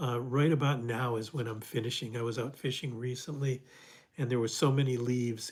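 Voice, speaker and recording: A man speaks at a fairly quick pace with fairly even intonation and a medium pitch. His voice is somewhat breathy. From US Midwest, Detroit. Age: 70s. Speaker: fly fishing instructor. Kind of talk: livestream Q&A, reading viewer comments. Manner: halting, many fillers and restarts.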